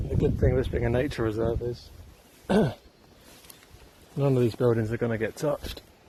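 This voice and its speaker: A quiet man's voice at medium pitch, fairly quick, with ordinary pitch variation. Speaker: urban explorer vlogger. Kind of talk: walking vlog narration. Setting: outdoors.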